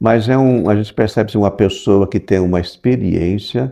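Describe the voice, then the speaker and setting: A man's fairly low, dark and mellow voice at a fairly slow pace, with ordinary pitch variation. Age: 60s. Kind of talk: interview. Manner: hesitant, with fillers.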